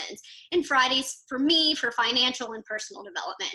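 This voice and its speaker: A woman with a Texan accent speaks in a raised, projected voice at high pitch. Her pace is moderate and her pitch varies an ordinary amount. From Texas. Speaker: entrepreneur, PR company owner. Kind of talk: podcast interview. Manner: loud.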